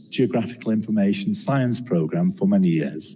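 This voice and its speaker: A man's dark, mellow voice sits at a medium pitch and swings very widely. The room echo is audible. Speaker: geography professor. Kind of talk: lecture. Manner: halting.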